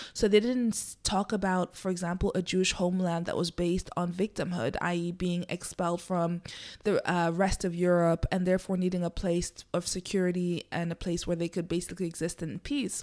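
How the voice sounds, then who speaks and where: A woman's plain, everyday voice, fairly low in pitch, at a fairly quick pace with hardly any pauses, on a very clean recording with a silent background. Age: 30s. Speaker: solo podcast host. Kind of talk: solo monologue commentary. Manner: conversational with fillers.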